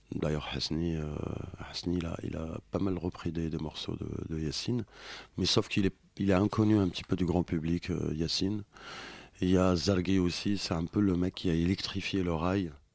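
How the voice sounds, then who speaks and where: On a very clean recording with a silent background, a man with a very deep, low pitch speaks at a moderate pace with fairly even intonation. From western Algeria (Oran, Sidi Bel Abbès). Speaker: singer-songwriter. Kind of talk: radio interview. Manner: halting, many repeated words.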